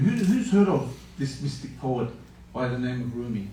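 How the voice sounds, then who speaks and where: This man talks at a moderate pace with ordinary pitch variation, and the room echo is audible. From Australia. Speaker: interfaith moderator. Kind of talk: panel moderation.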